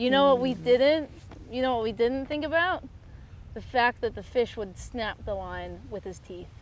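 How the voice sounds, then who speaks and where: This woman's voice is high-pitched with ordinary pitch variation. She talks at a moderate pace, her loudness swinging widely. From United States. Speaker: fly fishing guide. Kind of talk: interview answer.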